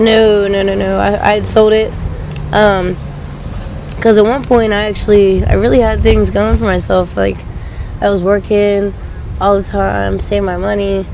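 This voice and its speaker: With an American accent, a woman speaks at a moderate pace with long, frequent pauses, amid audible room echo and noticeable background noise. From Pennsylvania, Delaware County and western PA. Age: 20s. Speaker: interviewee. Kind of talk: street interview. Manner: casual, hesitant with many ums.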